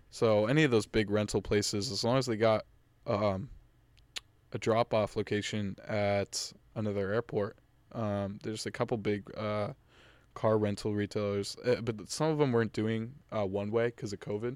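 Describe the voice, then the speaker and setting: Fairly low-pitched, a man with an American accent and an ordinary speaking voice talks at a moderate pace with fairly even intonation. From Massachusetts, North Shore. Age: 20s. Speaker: college student, podcast guest. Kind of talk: casual chat.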